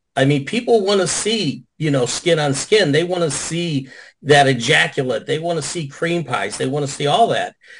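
A somewhat breathy man with an American accent speaks at a moderate pace, his fairly high pitch carried by lively intonation. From Chicago area. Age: 60s. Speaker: adult film performer. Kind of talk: casual chat. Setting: video call.

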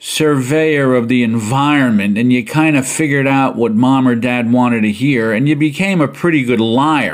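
Speaking in a normal speaking voice, a man holds a medium pitch with ordinary pitch variation. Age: 60s. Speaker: podcast host, retired school administrator and college instructor. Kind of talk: solo educational podcast monologue. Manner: casual, conversational.

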